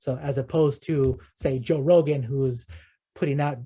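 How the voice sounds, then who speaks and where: This man's voice comes across as somewhat breathy. He talks at a medium pitch with ordinary variation. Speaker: guest speaker on data visualization. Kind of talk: Q&A after a talk. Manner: fast; halting, many fillers and repetitions.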